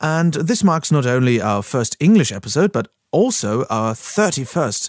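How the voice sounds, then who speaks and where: A man speaks at a moderate pace with very wide pitch swings, recorded dry and close with no echo. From Germany. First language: German. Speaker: podcast host and voice actor. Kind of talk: podcast intro monologue. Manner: hesitant, with filler words.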